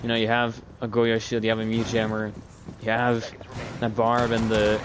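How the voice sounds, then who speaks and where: A man talks at a fairly quick pace and medium pitch over noticeable background noise. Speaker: esports caster. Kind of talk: live commentary.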